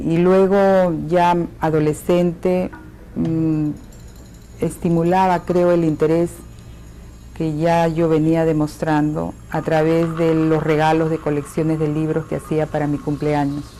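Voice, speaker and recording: Over music in the background, a woman speaks very slowly in a very deep, low pitch with monotone, flat intonation. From Peru (Lima). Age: 70s. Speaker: archaeologist. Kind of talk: interview testimony.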